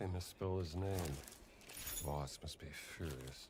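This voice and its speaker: A man's gravelly, put-on character voice, very deep and low, at a fairly slow pace over clear background noise. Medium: video game. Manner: dry, wry.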